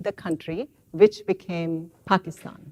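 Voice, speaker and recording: The sound is dry and close, with no echo at all. A woman talks very slowly. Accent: Indian. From India. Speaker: professor. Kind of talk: lecture. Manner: halting.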